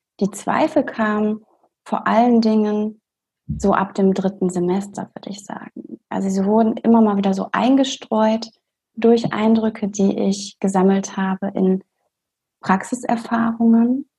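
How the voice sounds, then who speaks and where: A woman's fairly high, somewhat breathy voice with a dark, mellow tone, a calm tone, fairly even intonation and a fairly slow pace. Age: 20s. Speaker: doctor and coach. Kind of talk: interview.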